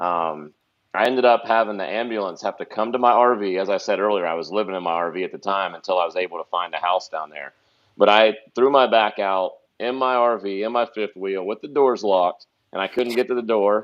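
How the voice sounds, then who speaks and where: Speaking at a fairly quick pace with an American accent, the man has a fairly low pitch and ordinary pitch variation. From Ohio. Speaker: pro bass fisherman. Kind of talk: podcast interview. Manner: animated.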